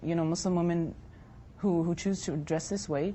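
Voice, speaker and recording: A woman with a plain, everyday voice speaks fairly quickly at a fairly low pitch with fairly even intonation. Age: 20s. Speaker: hijab-wearing interviewee. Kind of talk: debate discussion.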